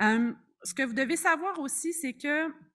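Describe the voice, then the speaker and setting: The woman's intonation is lively, and the recording is very clean with a silent background. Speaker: family physician and researcher. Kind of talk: conference presentation.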